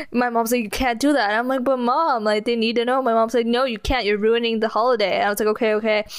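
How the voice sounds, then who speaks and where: A woman with an American accent, very fast and with hardly any pauses, fairly high in pitch, with fairly even intonation, very even loudness and noticeable background noise. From California. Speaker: podcast co-host. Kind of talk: casual chat.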